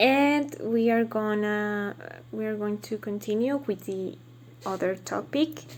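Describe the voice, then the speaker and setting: Ordinary pitch variation shapes this woman's speech. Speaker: language student. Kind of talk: class assignment monologue. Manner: slow; halting.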